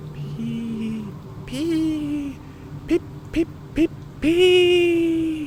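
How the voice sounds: A put-on character voice at a very slow pace, slightly mellow in tone, with fairly even intonation and audible room echo. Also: man, extremely high pitch for a man.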